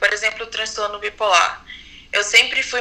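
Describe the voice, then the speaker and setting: Noticeable background noise behind a woman with a fairly high pitch. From Brazil, Manaus. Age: 20s. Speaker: podcast guest sharing mental health experience. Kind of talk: personal testimony.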